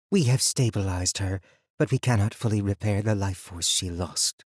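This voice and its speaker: Putting on a character voice, a man with a fairly low pitch and ordinary pitch variation sounds dry and close, with no echo. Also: moderate pace. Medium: read story. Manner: low, serious.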